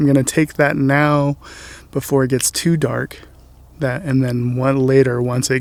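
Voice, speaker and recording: A soft-spoken man at medium pitch, moderate pace and with monotone, flat intonation. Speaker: landscape photographer. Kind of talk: tutorial. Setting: outdoors.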